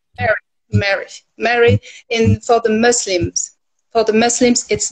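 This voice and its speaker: A woman speaks with a French accent and a fairly high pitch. The background is quiet. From France. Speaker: livestream guest; guest. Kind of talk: casual chat. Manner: halting. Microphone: phone near.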